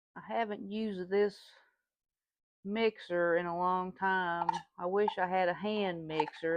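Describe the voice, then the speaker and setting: With a Southern US accent, a woman speaks at a medium pitch and with fairly even intonation. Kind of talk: casual cooking demonstration to camera.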